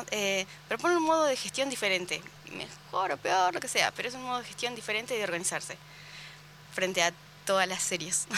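Over noticeable background noise, a woman at medium pitch speaks with lively intonation and long, frequent pauses. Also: fairly quick pace. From Argentina, Carmen de Patagones. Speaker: book fair organizer. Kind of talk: casual chat. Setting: radio studio.

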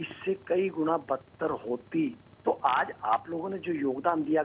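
A man's ordinary speaking voice, fairly high in pitch. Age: 50s. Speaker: blogger and motivational speaker. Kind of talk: interview giving advice to children.

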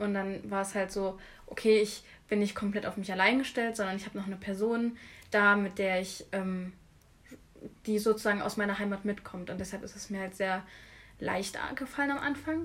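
At a moderate pace, a woman with a plain, everyday voice speaks at a medium pitch. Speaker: art student. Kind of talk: casual chat.

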